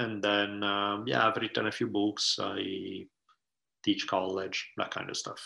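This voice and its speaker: Speaking at a very slow pace, a man with a fairly low pitch has a bright, sharp tone and vocal fry. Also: quiet background. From Italy. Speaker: writer, professor and podcaster. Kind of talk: casual interview conversation.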